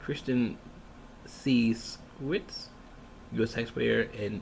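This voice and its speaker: A soft-spoken man talks with an American accent. There is noticeable background noise. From Michigan, USA. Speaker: ASMR creator. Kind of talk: ASMR reading of a ballot, casual talk to camera.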